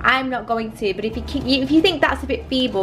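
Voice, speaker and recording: A woman speaks at a fairly quick pace over light background noise. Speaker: food vlogger. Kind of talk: casual cooking tutorial chat. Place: kitchen. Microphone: camera far.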